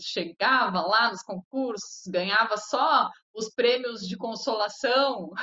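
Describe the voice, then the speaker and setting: At a very slow pace, a woman speaks with a fairly high pitch, ordinary pitch variation and big swings in loudness. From Porto Alegre, Rio Grande do Sul, southern Brazil. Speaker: TV presenter, celebrity gossip. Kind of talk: casual interview.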